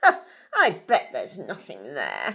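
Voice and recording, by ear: Using a put-on character voice, a woman speaks slowly at an extremely low pitch with very wide pitch swings, vocal fry, a bright, sharp tone and a slightly husky edge.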